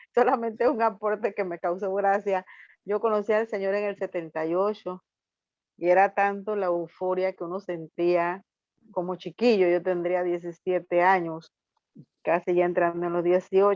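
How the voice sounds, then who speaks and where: Here is a normal speaking voice from a woman at medium pitch, with fairly even intonation and a fairly slow pace. The background is quiet, and the sound is dry and close with no echo. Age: 60s. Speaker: student in a Bible course. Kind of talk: class discussion.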